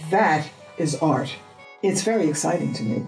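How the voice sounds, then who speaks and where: A woman with an American accent speaks at a moderate pace in a very deep, low pitch. Faint music plays in the background, and room echo is audible. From New York. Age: 80s+. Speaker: artist. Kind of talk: interview answer. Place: home room.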